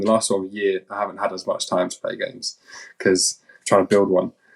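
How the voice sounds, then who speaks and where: Fairly quick and fairly low-pitched, a man speaks with a London accent. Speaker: game founder. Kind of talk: interview. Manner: halting.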